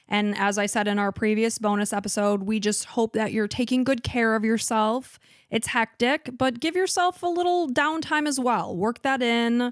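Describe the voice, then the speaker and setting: Fairly high-pitched woman with a slight Chicago accent, lively intonation and hardly any pauses, on a very clean recording with a silent background. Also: moderate pace, very even loudness. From Chicago suburbs, US Midwest. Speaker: true crime podcast co-host. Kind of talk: storytelling narration; casual chat.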